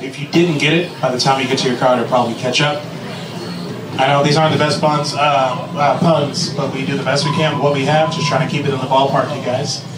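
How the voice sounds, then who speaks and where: A man speaks at a very fast pace. Noticeable background noise runs underneath. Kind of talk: ride spiel.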